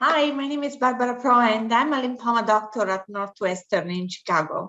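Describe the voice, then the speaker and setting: A woman speaks fairly quickly at a fairly high pitch. Her tone is bright and sharp, and her intonation lively. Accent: Italian. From Italy. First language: Italian. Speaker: physician, professor. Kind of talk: interview, professional discussion.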